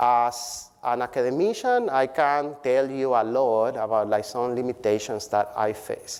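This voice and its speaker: With a non-native accent, a man speaks at a fairly slow pace with hardly any pauses, in a medium pitch and fairly even intonation. The recording is very clean and the background silent. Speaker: public health professor. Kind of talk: keynote speech. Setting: conference stage with audience.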